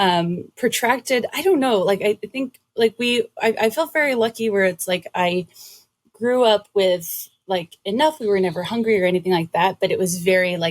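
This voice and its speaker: An unremarkable speaking voice from a woman with an American accent, medium pitch and lively intonation comes at a moderate pace, with a dry, close sound and no echo. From Massachusetts, Brockton near Boston. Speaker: writer and podcast host. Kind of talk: casual interview chat.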